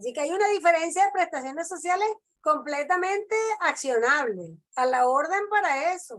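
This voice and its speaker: A woman speaks at an extremely high pitch. Her intonation is lively. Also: moderate pace. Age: 60s. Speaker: labor lawyer. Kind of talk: lecture; Q&A discussion. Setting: video call.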